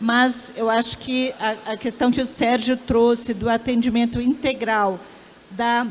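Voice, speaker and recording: Her pitch is high. The woman talks at a fairly slow pace. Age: 60s. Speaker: professor and researcher. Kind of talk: panel discussion.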